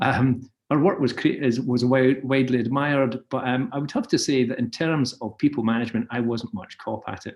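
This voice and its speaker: Speaking with a Scottish accent, a man keeps a fairly quick pace. His pitch is medium, with ordinary variation. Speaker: advertising creative director. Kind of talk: webinar presentation. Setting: video call. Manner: hesitant, many fillers.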